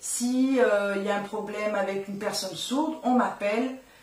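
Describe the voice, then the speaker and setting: A woman speaks at a fairly slow pace with ordinary pitch variation. Audible room echo and noticeable background noise come through. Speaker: sign language interpreter and nursing assistant. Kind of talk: radio interview.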